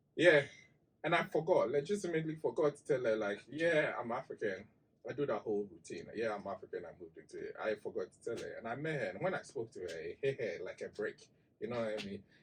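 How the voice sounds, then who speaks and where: Very fast speech from a man with a Ghanaian accent and big swings in loudness. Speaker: digital marketing expert. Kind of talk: casual chat. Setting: studio.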